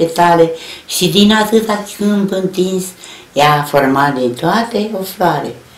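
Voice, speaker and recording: Fairly low-pitched woman at a very slow pace, ordinary pitch variation, with audible room echo. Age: 80s+. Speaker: elderly reciter of her mother's poem. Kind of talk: poetry reading. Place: home room. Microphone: camera far.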